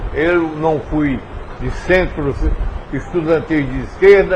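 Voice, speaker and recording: A man speaks at a fairly slow pace with lively intonation. Audible room echo and noticeable background noise fill the recording. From Brazil, Paraíba sertão (Pombal). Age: 70s. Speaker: former politician. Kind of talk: interview.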